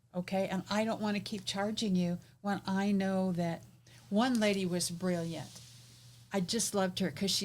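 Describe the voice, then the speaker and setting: Somewhat breathy, a woman talks at a moderate pace with a medium pitch and ordinary pitch variation. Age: 70s. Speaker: business coach and podcast host. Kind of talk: casual interview chat.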